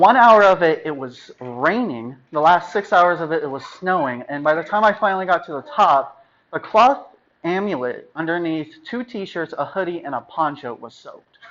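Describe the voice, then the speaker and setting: A man speaks at a moderate pace in a high voice. His loudness swings a lot. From US West, Las Vegas, Nevada. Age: 20s. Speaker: club member giving a speech; coffee bar clerk. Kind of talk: prepared public speech. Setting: club meeting with audience. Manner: casual, conversational.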